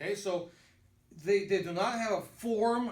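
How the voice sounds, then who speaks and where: A man in a Russian accent, high-pitched, at a fairly slow pace, with audible room echo. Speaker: pastor. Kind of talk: lecture. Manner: halting.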